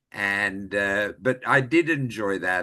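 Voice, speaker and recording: A man talks with an Australian accent and a bright, sharp tone. Behind him the background stays quiet. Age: 70s. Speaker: retired actor and voiceover artist. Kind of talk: interview.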